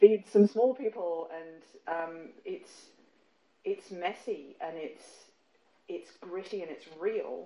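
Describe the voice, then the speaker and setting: A woman speaks at a very slow pace, leaving long, frequent pauses, and her loudness swings widely. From England. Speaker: writer and environmental consultant. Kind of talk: casual interview chat. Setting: in her lounge room. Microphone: recorded on a phone, poor audio quality.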